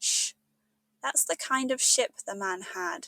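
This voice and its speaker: Someone with a British accent talks at a very slow pace in a dry, close sound with no echo. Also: woman. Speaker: English teacher. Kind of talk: audiobook read-along of a classic children's novel.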